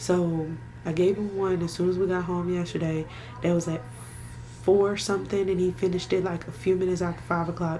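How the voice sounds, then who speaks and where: Quiet and fairly low, a woman talks at a fairly quick pace in a monotone, flat way. Audible room echo and noticeable background noise are present. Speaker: vlogger and doula. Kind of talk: casual vlog talk to camera. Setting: at home. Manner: speaking quietly.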